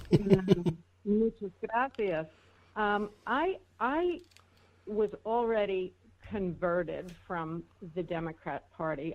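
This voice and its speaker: A woman with a New York accent and ordinary pitch variation. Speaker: political talk show co-host. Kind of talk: casual chat.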